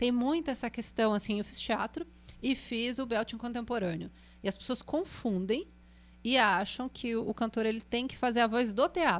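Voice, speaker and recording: On a very clean recording with a silent background, a woman with an ordinary speaking voice talks at a moderate pace, her pitch fairly high and its variation ordinary. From Brazil, Pindamonhangaba, São Paulo state. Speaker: singer and voice teacher. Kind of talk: podcast interview. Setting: studio.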